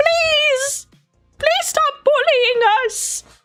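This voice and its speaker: An extremely high, put-on character voice with music in the background. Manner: pleading, whiny.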